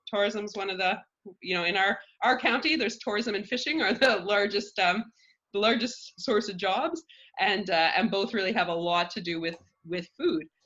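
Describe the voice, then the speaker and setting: In an unremarkable speaking voice, a woman talks at a moderate pace and medium pitch with lively intonation. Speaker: food cooperative representative, guest speaker. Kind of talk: informal presentation. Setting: video call.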